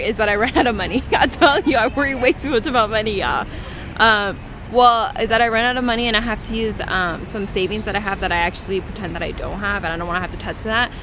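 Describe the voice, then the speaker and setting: The voice carries a Californian accent and lively intonation at a very fast pace. Noticeable background noise sits behind it. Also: woman. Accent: Californian American English. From Northern California. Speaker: study abroad student vlogger. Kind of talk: casual vlog chat.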